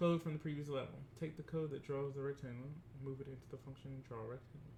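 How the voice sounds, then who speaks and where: With a dark, mellow tone that is somewhat breathy, a man with a fairly high pitch talks at a very fast pace in a monotone, flat intonation. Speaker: teacher. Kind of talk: tutorial.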